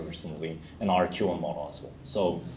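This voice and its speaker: With a Korean accent, a man speaks at a fairly quick pace in a very deep, low pitch. Audible room echo surrounds his voice. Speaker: solutions architect, conference speaker. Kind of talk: conference Q&A. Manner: halting, many fillers.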